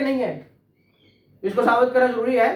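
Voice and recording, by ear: Audible room echo around a man speaking.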